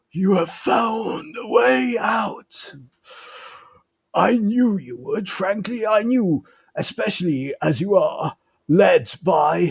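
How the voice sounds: In a put-on character voice, a man speaks very slowly with a raspy, high pitch.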